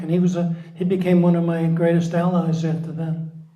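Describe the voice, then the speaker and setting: Audible room echo surrounds a man's high-pitched voice with a dark, mellow tone. He talks at a moderate pace. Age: 70s. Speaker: founder of a volunteer support organization, psychologist. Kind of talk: interview.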